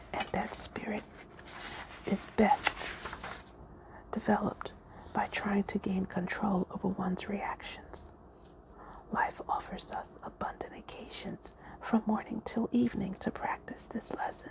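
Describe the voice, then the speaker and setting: Whispering at a fairly slow pace, with long, frequent pauses and noticeable background noise. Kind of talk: audiobook-style reading of a spiritual book, ASMR story time. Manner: soft-spoken.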